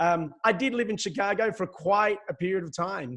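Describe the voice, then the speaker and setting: Someone with an Australian accent speaks with ordinary pitch variation against a quiet background. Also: man. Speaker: sales consultant. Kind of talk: webinar presentation.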